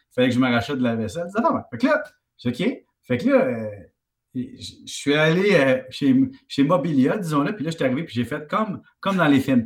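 A man's somewhat breathy voice sits at a fairly high pitch and moves through very wide pitch swings. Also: fairly quick pace. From Quebec, Valleyfield. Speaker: economics columnist and TV host. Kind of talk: casual chat.

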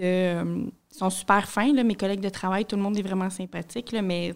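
A woman with an unremarkable speaking voice talks at medium pitch with fairly even intonation. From Montreal area, Quebec. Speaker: newcomer resident. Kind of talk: casual chat.

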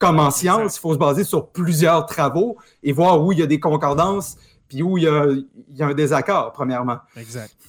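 Moderately paced, the speech has a plain, everyday voice and ordinary pitch variation. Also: man, fairly high pitch for a man. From Quebec, Saguenay. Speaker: historian. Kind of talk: casual chat.

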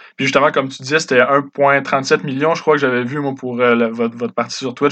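With medium pitch, a man talks at a moderate pace in a monotone, flat intonation. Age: 20s. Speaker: podcast host. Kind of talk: interview.

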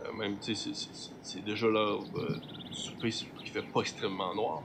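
The talking goes at a moderate pace, with noticeable background noise behind it. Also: man. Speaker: game master of a role-playing show. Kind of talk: tabletop role-play narration.

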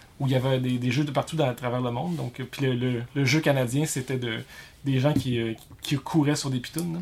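Somewhat breathy, a man with a Quebec accent keeps his intonation fairly even. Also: medium pitch for a man, moderate pace. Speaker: YouTuber. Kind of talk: casual chat. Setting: garage.

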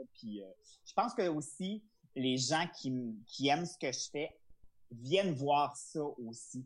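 This man speaks at a very slow pace, with long, frequent pauses. His intonation is lively and his pitch fairly high. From Quebec, Charlevoix. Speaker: comedian. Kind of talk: interview.

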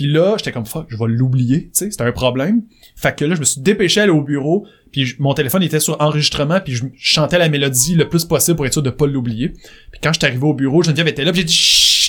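A man with a Quebec accent, animated tone, very fast pace, fairly high pitch and ordinary pitch variation, with music in the background. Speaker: songwriter and musician. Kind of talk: interview.

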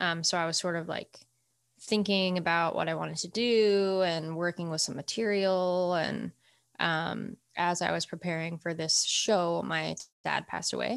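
In a General American accent, a woman with a plain, everyday voice and a fairly low pitch speaks at a moderate pace with fairly even intonation, on a very clean recording with a silent background. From Colorado. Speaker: musician. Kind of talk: casual chat.

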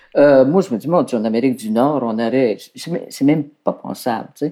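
Her pitch swings very widely. The woman keeps a fairly slow pace. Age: 60s. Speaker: documentary filmmaker. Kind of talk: interview.

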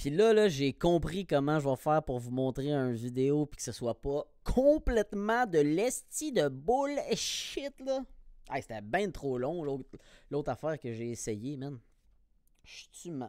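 A man with a Quebec accent speaks very slowly in a dark, mellow tone at fairly high pitch, with very wide pitch swings, on a very clean recording with a silent background. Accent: Québécois French. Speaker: podcaster. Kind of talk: casual solo monologue. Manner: animated.

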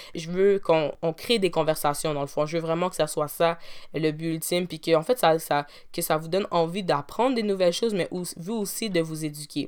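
A woman talks in a normal speaking voice at a moderate pace. Her fairly low pitch shows ordinary variation. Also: very clean recording, silent background. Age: 20s. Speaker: podcast host and university student. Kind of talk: solo podcast monologue.

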